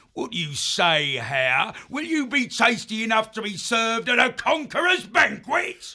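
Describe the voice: A man's put-on character voice, extremely high-pitched and bright and sharp in tone, with big pitch swings at a fairly slow pace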